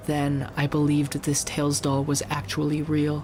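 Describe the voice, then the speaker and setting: Noticeable background noise behind a man's fairly high pitch. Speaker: vtuber. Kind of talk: creepypasta reading. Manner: soft-spoken.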